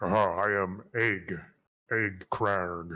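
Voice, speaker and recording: A man does a put-on character voice that is raspy and very deep. His intonation stays monotone and flat. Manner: mocking impression.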